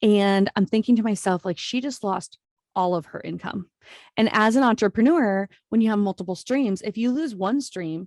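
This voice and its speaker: The woman's voice sits at a medium pitch with ordinary pitch variation and a moderate pace. The sound is dry and close with no echo. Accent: slight Minnesota. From US Midwest, Iowa. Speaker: entrepreneur, podcast guest. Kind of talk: casual interview chat. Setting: remote video call.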